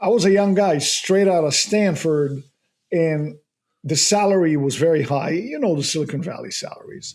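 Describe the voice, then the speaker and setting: A man speaks with a dark, mellow tone and a high pitch, carrying a slight non-native accent. His intonation is lively and his pace moderate. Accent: slight foreign. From abroad, not the US. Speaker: real estate investor. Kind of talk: podcast interview. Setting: studio.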